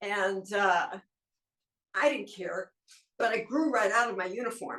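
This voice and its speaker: A woman with a bright, sharp tone speaks at a fairly slow pace. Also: medium pitch for a woman, ordinary pitch variation. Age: 70s. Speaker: model and actor. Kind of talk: interview.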